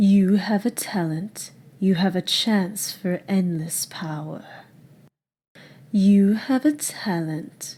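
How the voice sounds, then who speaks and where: A female-sounding put-on character voice at a very slow pace, with long, frequent pauses. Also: medium pitch for a woman. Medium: voice reel.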